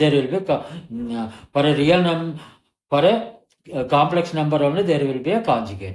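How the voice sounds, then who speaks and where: A somewhat breathy man's voice, fairly high-pitched with lively intonation, at a moderate pace broken by long, frequent pauses, with audible room echo. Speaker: maths teacher. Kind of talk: tutorial.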